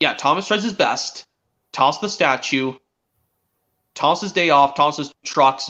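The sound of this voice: A man with a fairly high pitch and a bright, sharp tone talks at a fairly slow pace, his pitch varying in an ordinary way.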